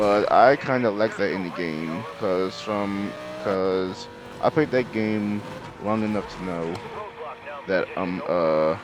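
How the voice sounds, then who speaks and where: A man mumbling at a very slow pace, with long, frequent pauses, ordinary pitch variation and noticeable background noise. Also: fairly low pitch for a man. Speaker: gaming youtuber. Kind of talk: gameplay commentary. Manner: halting, many fillers.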